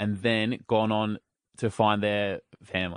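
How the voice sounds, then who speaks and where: The speaker is a man with an Australian accent. He talks at a fairly low pitch. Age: 30s. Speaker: radio host and podcaster. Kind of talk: casual chat.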